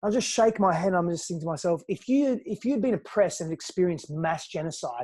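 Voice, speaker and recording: Against a quiet background, the speaker talks at a fairly quick pace with an Australian accent. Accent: Australian, noticeable. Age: 30s. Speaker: personal growth coach. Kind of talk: podcast interview.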